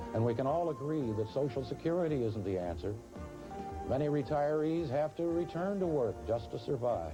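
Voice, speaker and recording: Music plays in the background as the voice moves at a moderate pace. Pitch swings are very wide while loudness stays very even. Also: man, medium pitch for a man. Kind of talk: infomercial narration, promotional announcer read.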